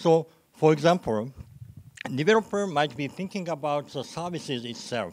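A man's intonation is lively and his loudness swings widely as he talks at a moderate pace. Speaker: program manager. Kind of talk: conference talk. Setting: stage with audience. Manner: halting. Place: hall.

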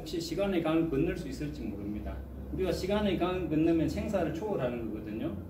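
Lively, fairly high-pitched male speech against noticeable background noise. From South Korea. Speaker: Buddhist monk and chant master. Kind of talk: lecture. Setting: classroom with audience. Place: classroom. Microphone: phone near.

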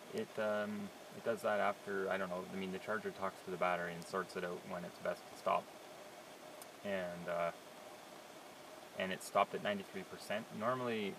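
Long, frequent pauses break up the speech, which sounds dry with no echo and sits over noticeable background noise. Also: man. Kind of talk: casual vlog commentary. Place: car. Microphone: phone near.

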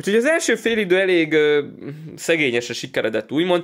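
The speaker is a man with an animated tone. Lively intonation runs through his delivery. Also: quiet background. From Hungary. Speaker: card-collecting YouTuber. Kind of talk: pack-opening commentary. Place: home room.

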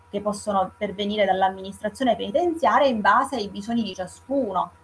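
In a normal speaking voice, a woman talks at a fairly quick pace with lively intonation over light background noise. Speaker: prison volunteer. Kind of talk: testimony. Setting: video call. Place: home room. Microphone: earbuds.

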